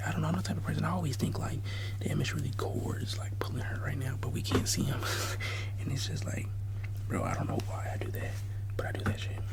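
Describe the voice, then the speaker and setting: Monotone, flat intonation in an American accent at a fairly quick pace, with noticeable background noise. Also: man. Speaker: ASMR content creator. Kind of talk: casual talk to camera. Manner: whispered, rambling, casual.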